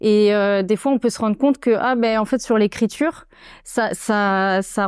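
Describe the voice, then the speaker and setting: A woman's fairly high voice with ordinary pitch variation, dry and close with no echo, on a very clean recording with a silent background. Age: 20s. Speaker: storyboard artist. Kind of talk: casual interview. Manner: hesitant, many fillers.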